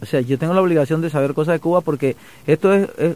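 A man's voice at a fairly high pitch. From Panama, Chiriquí province. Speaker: songwriter. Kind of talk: interview. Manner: halting.

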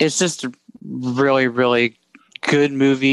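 A man talks in an unremarkable speaking voice at medium pitch, with fairly even intonation. The sound is dry and close, with no echo. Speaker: podcast co-host. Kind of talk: casual chat.

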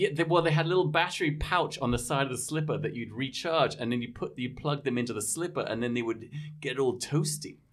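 In an English accent, the voice moves at a very fast pace with hardly any pauses and ordinary pitch variation. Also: man, fairly high pitch for a man. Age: 50s. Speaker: podcast host. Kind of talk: casual chat.

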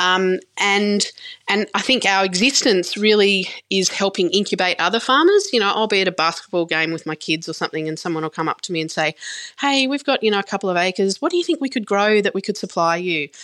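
In an Australian accent, this speaker talks at a very fast pace with a bright, sharp tone. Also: woman, medium pitch for a woman. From rural New South Wales, Australia. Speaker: farmer and food shop owner. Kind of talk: interview. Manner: hesitant, many fillers.

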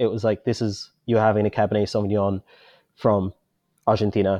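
A normal speaking voice from a man, fairly low-pitched and fairly quick in pace. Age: 30s. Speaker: wine bar owner. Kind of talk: interview.

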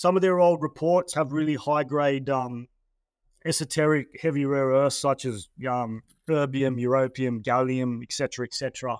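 Recorded very cleanly with a silent background and a dry, close sound with no echo, a man with an Australian accent speaks at a moderate pace in a medium pitch with fairly even intonation. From Australia, New South Wales (Terrigal, north of Sydney). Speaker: mining company managing director. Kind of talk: interview. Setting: studio. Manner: casual, with many fillers and repeated words.

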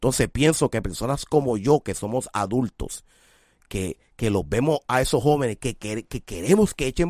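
A man speaks at a fairly slow pace with vocal fry. The sound is dry and close with no echo, on a very clean recording with a silent background. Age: 40s. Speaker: music show host and artist mentor. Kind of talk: casual chat.

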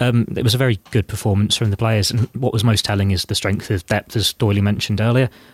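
A man with a southern English accent and a fairly low pitch talks very fast with hardly any pauses, his voice somewhat breathy and his intonation monotone and flat. The sound is dry and close with no echo, on a very clean recording with a silent background. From southern England. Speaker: football journalist. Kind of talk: casual chat.

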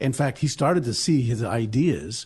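Over a quiet background, a man with an American accent talks at a medium pitch, somewhat breathy and with lively intonation. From New Jersey. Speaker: pastor and history foundation president. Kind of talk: radio interview.

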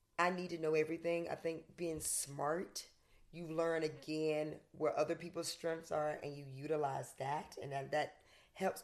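A woman with a Southern US accent speaks at a fairly slow pace in a very deep, low pitch, with ordinary pitch variation. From US South. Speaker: fitness coach and author. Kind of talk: interview conversation.

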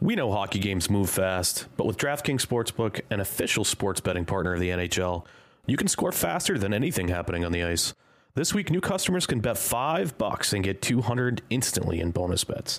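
With a fairly low pitch and lively intonation, a man speaks at a moderate pace and very even loudness. The recording is very clean with a silent background. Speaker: podcast host. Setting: recorded ad read. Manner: smooth ad-read delivery.

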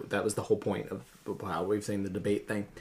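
A man speaks over noticeable background noise. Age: 20s. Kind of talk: casual chat. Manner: animated.

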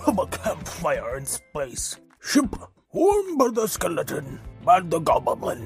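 A put-on character voice at a fairly slow pace, with faint music in the background. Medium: audio drama. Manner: odd, stilted alien phrasing.

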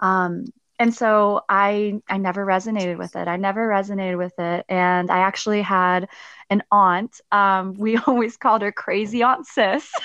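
A woman with a medium pitch and a bright, sharp tone speaks at a moderate pace with fairly even intonation, in a dry, close sound with no echo and a quiet background. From Germany. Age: 20s. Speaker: Air Force veteran and spiritual reader. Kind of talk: casual interview.

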